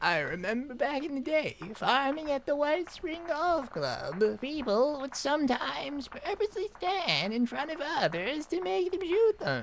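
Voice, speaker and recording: In a put-on character voice, a female-sounding speaker talks at a moderate pace with a high pitch, over clear background noise. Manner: reminiscing.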